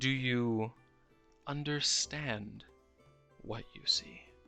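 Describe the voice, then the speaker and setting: A man puts on a character voice with a solemn tone, speaking at a very slow pace. His intonation is fairly even, with faint music in the background. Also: medium pitch for a man. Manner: noble, solemn.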